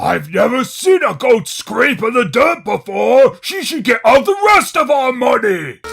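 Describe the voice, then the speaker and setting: Using a cartoonish character voice, a man speaks at an extremely high pitch. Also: moderate pace. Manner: jovial.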